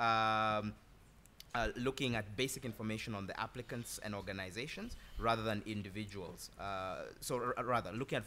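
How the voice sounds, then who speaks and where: With a bright, sharp tone and fairly low pitch, a man talks at a fairly quick pace in fairly even intonation over light background noise. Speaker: consulting firm executive. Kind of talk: panel discussion. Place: hall.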